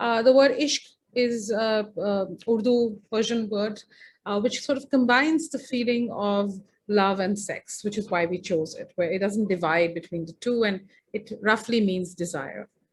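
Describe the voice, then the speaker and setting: A woman talks with a fairly high pitch and ordinary pitch variation. Her voice is somewhat breathy. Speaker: feminist filmmaker and speaker. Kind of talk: presentation. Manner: fast.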